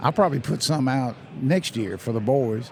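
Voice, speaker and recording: Over noticeable background noise, a man with a medium-pitched voice talks at a moderate pace with lively intonation. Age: 70s. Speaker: hunting brand ambassador. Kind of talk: casual chat. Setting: convention show floor.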